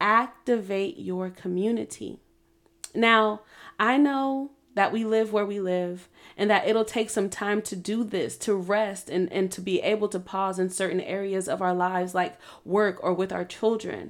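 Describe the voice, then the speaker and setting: In a very clean recording with a silent background, a woman with an ordinary speaking voice talks at a medium pitch and a fairly slow pace, keeping her intonation fairly even. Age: 30s. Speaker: podcast host. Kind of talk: motivational monologue.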